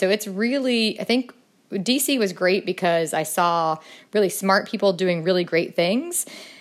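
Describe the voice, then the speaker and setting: A woman with an unremarkable speaking voice, medium pitch, very even loudness and a moderate pace. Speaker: guest, activist and educator on racial bias. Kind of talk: interview conversation about race.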